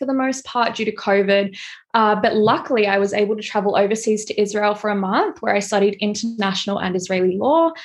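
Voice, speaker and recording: Woman with an unremarkable speaking voice, fairly high pitch, ordinary pitch variation, a fairly quick pace and hardly any pauses. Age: 20s. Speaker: fashion stylist and content creator. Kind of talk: interview.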